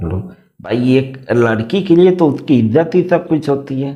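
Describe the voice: A man at medium pitch with lively intonation, at a fairly slow pace, with audible room echo.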